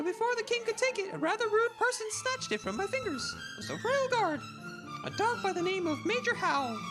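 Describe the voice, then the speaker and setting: Loud music plays behind a put-on character voice that moves at a fairly quick pace. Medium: virtual streamer. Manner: flamboyant, grandiose.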